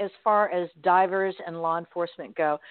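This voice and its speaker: A woman speaks with an American accent at a medium pitch. Her pace is moderate. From Florida. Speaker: radio host. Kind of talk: casual interview. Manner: animated.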